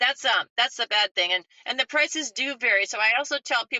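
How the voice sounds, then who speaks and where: Speaking at a fairly quick pace, a woman uses an unremarkable speaking voice with ordinary pitch variation. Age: 60s. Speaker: architect and custom home builder. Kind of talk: interview. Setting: podcast.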